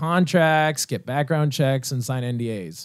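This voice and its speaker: In a Canadian accent, a man speaks in a normal speaking voice with a fairly high pitch and ordinary pitch variation, on a very clean recording with a silent background. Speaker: debate show moderator. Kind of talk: comedic improv debate.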